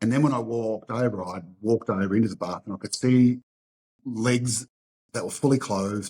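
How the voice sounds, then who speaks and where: This man speaks with an Australian accent at a medium pitch. His tone is dark and mellow. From western Sydney, Australia. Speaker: martial arts school owner. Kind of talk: interview testimony. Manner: halting, repeats words.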